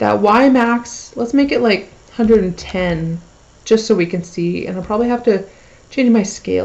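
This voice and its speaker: A woman speaks at a medium pitch with vocal fry. Her pace is moderate and her pitch varies in an ordinary way. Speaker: math teacher. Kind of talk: tutorial. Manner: casual.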